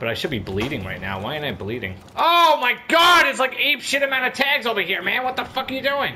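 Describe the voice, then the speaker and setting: A man talks at a fairly quick pace with hardly any pauses. Noticeable background noise runs underneath. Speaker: gaming YouTuber. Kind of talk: angry rant during gameplay commentary. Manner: loud, profane, exasperated and animated; fast, jumpy, with bursts of laughter.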